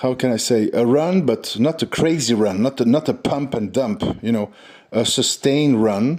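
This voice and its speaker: A man speaks with a French accent at a very even loudness. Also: medium pitch for a man, ordinary pitch variation, moderate pace. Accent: French accent, says his English is imperfect. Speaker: stock trading channel host. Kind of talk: casual market commentary. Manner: hesitant, many fillers.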